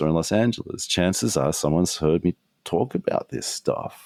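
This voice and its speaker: With an Australian accent, a man speaks at a moderate pace with ordinary pitch variation. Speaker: strategist and author. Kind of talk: podcast interview.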